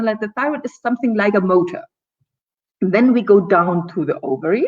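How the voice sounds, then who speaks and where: A woman with a non-native accent speaks at a medium pitch, her voice rising and falling across very wide swings. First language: German. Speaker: gynecologist and naturopath. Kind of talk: talk show presentation. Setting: live video stream. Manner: occasional stumbling.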